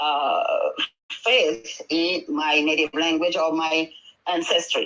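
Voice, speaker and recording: A woman with a Senegalese accent, at a very slow pace. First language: Wolof. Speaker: midwife and traditional healer. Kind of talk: panel discussion. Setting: online audio room.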